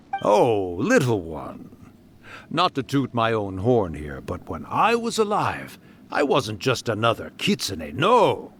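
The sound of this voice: A man puts on a character voice with a medium pitch, a fairly bright tone and a slightly husky edge. He speaks slowly, with very wide pitch swings.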